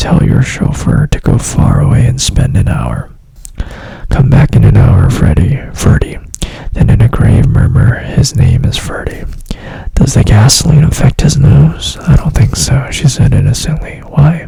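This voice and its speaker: Whispering from a woman at a fairly slow pace, very even in loudness, with noticeable background noise. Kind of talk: ASMR book reading for sleep. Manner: soft-spoken, whispering.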